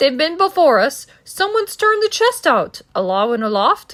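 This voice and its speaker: A woman puts on a character voice at an extremely high pitch, in very wide pitch swings. Her pace is moderate. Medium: read story.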